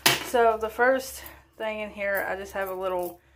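Noticeable background noise runs beneath a woman speaking at a moderate pace. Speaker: vlogger. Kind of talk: casual vlog chat. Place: bathroom. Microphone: phone near.

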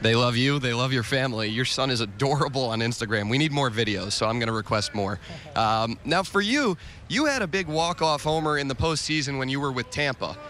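A man with a medium-pitched, plain, everyday voice talks at a fairly quick pace with lively intonation and very even loudness. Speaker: sports reporter. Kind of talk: interview. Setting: baseball dugout.

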